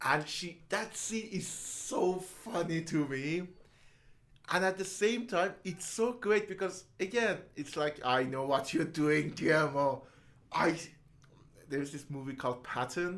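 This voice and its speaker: A man with a non-native accent, high-pitched, lively in intonation, at a fairly slow pace. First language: not English. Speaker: podcast co-host. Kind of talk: casual chat. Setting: podcast recording.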